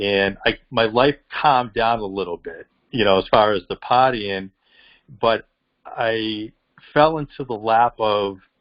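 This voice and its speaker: A man talks with a strong Boston accent. His pace is fairly slow. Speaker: professional boxer. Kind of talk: interview answer. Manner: passionate.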